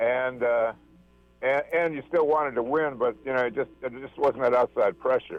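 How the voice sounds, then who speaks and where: A man speaks at a moderate pace and medium pitch, his intonation fairly even, with music playing in the background. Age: 70s. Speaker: caller. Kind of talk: call-in comment. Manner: halting.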